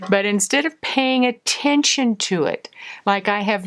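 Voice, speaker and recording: In a very clean recording with a silent background, a woman uses an ordinary speaking voice, fairly high in pitch with ordinary pitch variation. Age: 60s. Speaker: naturopath and wellness coach. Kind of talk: talking-head teaching video. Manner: conversational with fillers.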